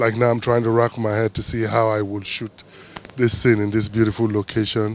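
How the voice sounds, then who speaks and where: A man at a moderate pace, monotone and flat, in a dry sound with no echo and light background noise. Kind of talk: interview answer. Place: street. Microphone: handheld.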